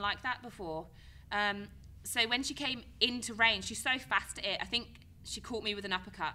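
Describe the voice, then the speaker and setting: A woman speaks with a bright, sharp tone. Her pace is moderate. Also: ordinary pitch variation. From Cornwall, England. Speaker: professional Muay Thai fighter. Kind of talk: podcast interview answer. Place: studio. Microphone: studio mic.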